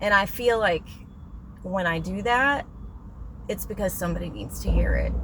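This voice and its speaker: The speech moves at a moderate pace with long, frequent pauses. Noticeable background noise can be heard. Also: woman. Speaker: vlogger giving life advice. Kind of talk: casual motivational monologue. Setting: in a parked car in a parking lot. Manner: rambling, unplanned.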